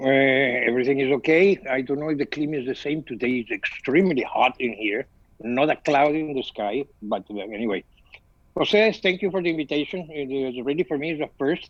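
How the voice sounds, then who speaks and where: With a Spanish accent, a man talks at a fairly quick pace in a fairly high voice with ordinary pitch variation. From Venezuela. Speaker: photographer. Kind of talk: video call chat. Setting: video call.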